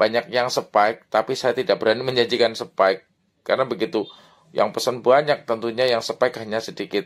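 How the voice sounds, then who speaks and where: An ordinary speaking voice, fairly even in intonation, at a fairly quick pace. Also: man. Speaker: orchid seller. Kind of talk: sales pitch, street-seller pitchman style. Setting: video for online sales, to camera. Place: garden. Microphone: phone near.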